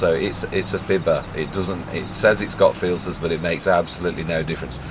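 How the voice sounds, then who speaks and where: A man talks over noticeable background noise. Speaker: gaming video creator. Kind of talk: gameplay commentary. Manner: soft-spoken.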